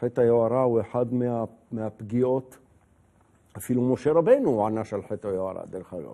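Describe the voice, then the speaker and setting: Against a quiet background, a man with a dark, mellow tone talks at a fairly slow pace with ordinary pitch variation and long, frequent pauses. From Israel. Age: 60s. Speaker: retired general and politician; politician. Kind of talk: casual interview. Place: studio. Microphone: lapel.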